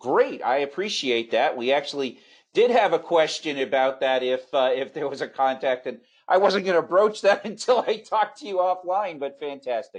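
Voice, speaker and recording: A normal speaking voice with lively intonation moves at a moderate pace over a quiet background. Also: man, fairly high pitch for a man. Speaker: webinar moderator. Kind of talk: webinar moderation. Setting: online webinar.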